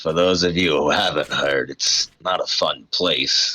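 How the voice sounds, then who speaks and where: In a put-on character voice, a man speaks slowly-ish and raspily at a very deep, low pitch, keeping his loudness very even. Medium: actual play.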